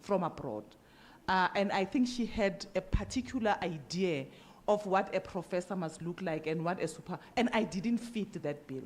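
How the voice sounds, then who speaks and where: A woman's voice, somewhat breathy, has lively intonation and a moderate pace. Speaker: professor. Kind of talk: conference discussion comment. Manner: halting, many repetitions.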